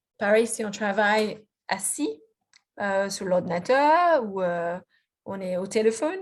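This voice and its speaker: Speaking fairly slowly with a slight Australian accent, a woman uses a fairly high pitch and lively intonation. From Australia, Melbourne. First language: English (speaking French). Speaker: physiotherapist and researcher. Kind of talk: lecture presentation. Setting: video conference. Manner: halting, many fillers and restarts.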